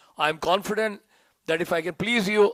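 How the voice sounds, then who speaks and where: Very fast speech in an Indian accent with ordinary pitch variation. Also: man. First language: Hindi. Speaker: disciple, youth preacher. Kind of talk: reading aloud a tribute; devotional speech.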